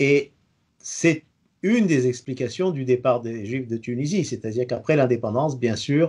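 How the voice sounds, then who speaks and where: A man's dark, mellow voice at a fairly slow pace. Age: 60s. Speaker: retired engineer and community radio host. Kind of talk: interview answers. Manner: hesitant, frequent 'euh' and repetitions.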